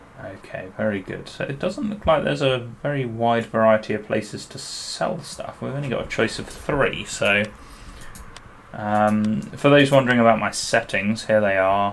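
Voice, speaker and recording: A man with a British accent speaks at a moderate pace and medium pitch, with ordinary pitch variation and big swings in loudness, over noticeable background noise. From United Kingdom. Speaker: gaming YouTuber. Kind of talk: gameplay commentary. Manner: casual, hesitant with many fillers.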